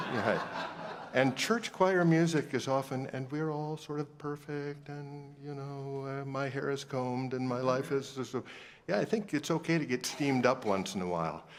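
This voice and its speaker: Through an unremarkable speaking voice, a man talks at a moderate pace with a fairly high pitch and ordinary pitch variation. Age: 60s. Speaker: choral conductor leading a reading session. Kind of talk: workshop instruction to choir directors.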